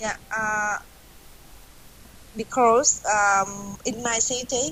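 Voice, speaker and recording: A woman in a Vietnamese accent, fairly high pitch and ordinary pitch variation, at a very slow pace. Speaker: English learner, accountant. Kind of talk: online English class discussion. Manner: halting.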